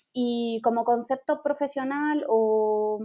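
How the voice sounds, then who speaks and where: With a Galician accent, this woman has a fairly high pitch and fairly even intonation. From Galicia, Spain. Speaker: travel blogger. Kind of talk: podcast interview.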